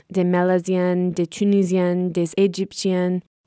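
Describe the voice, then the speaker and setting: A woman with an American accent speaks very slowly at a medium pitch, her tone dark and mellow, in a dry, close recording with no echo and a very clean, silent background. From US, rural Connecticut. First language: English (speaking French). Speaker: student podcast host. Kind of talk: scripted narration.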